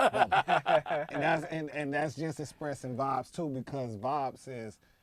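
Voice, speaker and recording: Fairly high in pitch, a man with an American accent speaks in an unremarkable speaking voice with ordinary pitch variation. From United States. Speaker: event collective founder. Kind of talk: podcast interview.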